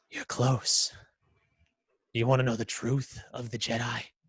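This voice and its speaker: A raspy, put-on character voice. The intonation stays monotone and flat. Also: man, medium pitch for a man, moderate pace. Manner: dark, menacing.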